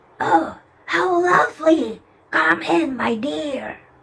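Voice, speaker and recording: Putting on a character voice, a woman speaks very slowly at medium pitch with very wide pitch swings. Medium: read story. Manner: falsely sweet.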